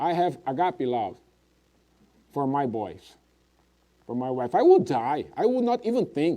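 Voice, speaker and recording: The pitch swings very widely, with a dark, mellow tone. The pace is fairly slow. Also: man. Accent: Portuguese. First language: Portuguese. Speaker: preacher. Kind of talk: sermon.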